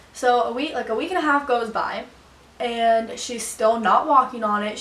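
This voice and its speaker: Fairly high-pitched woman with fairly even intonation, amid noticeable background noise and audible room echo. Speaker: vlogger. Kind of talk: storytime vlog. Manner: fast.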